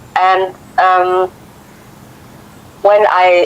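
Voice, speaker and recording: A voice with a French accent comes through over noticeable background noise. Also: woman. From Africa. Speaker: viewer calling in. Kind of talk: casual chat. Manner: halting. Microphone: cutting out connection.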